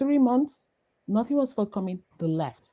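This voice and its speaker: Lively in intonation, a woman speaks in a dark, mellow tone. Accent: Nigerian. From Nigeria. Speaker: entrepreneur. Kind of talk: interview. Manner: halting.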